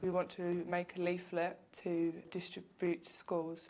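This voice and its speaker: In an Essex accent, a woman speaks at a fairly low pitch. Her intonation is monotone and flat. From England, Essex. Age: young. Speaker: abuse survivor, youth campaigner. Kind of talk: news interview.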